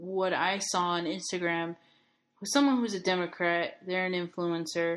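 In a quiet background, a woman with a plain, everyday voice speaks fairly slowly at a medium pitch with ordinary pitch variation. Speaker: podcast host. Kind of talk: casual chat.

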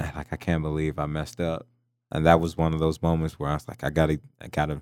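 A man with an American accent and a very deep, low pitch, at a fairly quick pace with fairly even intonation, in a very clean recording over a silent background. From Pittsburgh, Pennsylvania. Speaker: pro football player. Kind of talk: casual chat.

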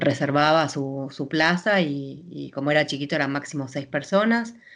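At a moderate pace, a woman talks with a very deep, low pitch. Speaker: chef. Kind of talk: interview.

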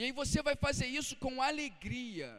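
A man's extremely high voice unfolds at a fairly slow pace. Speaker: pastor. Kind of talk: sermon. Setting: church. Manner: earnest, exhortative preaching; rhetorical questions, checking in with the congregation.

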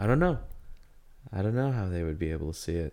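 A man's very deep, low voice with a dark, mellow tone takes on a playful tone in a very clean recording with a silent background. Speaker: podcast host. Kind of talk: casual banter podcast. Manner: laughs often, playful.

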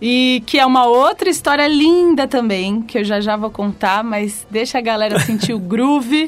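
A woman with an unremarkable speaking voice, a fairly high pitch and lively intonation. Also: moderate pace. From São Paulo, Brazil. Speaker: singer. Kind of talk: casual chat. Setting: studio.

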